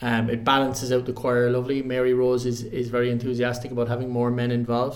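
A man speaks very fast at a medium pitch, with very even loudness, hardly any pauses and a flat, monotone delivery. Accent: Irish. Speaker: choral society member.

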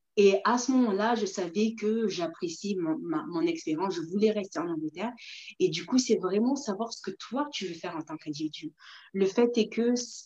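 A woman's voice has a dark, mellow tone. Her intonation is lively. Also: medium pitch for a woman, moderate pace. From Mayotte, moved to France at 7. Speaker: entrepreneur and researcher. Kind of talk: interview on a live video stream. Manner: hesitant, many fillers and repetitions.

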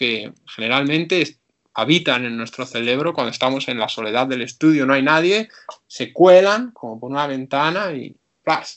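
With ordinary pitch variation, a plain, everyday voice keeps to a moderate pace. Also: man. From Spain, Ávila. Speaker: painter. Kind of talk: interview.

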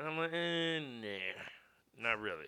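An ordinary speaking voice from a man, in an American accent, fairly high in pitch with lively intonation. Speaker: podcast co-host. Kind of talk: casual chat.

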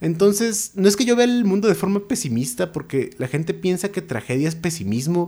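Speaking at a moderate pace, a man's voice swings very widely in pitch on a very clean recording with a silent background. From Mexico, Naucalpan (State of Mexico). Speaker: writer. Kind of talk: interview. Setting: studio.

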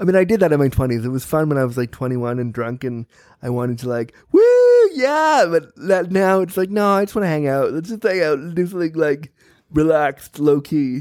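Speaking in a normal speaking voice, a man uses lively intonation at a fairly quick pace and a fairly high pitch. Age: 30s. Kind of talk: casual chat.

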